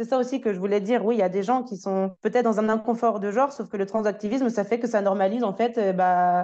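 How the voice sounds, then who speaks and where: Over a quiet background, the voice has a dark, mellow tone, fairly even intonation and a fairly quick pace. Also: woman. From France. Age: 20s. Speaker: language teacher and journalist. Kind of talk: personal testimony.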